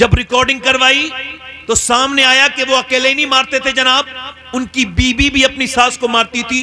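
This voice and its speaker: A raised, projected voice with monotone, flat intonation over noticeable background noise. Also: man. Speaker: Islamic preacher. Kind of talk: sermon. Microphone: echo on PA mic.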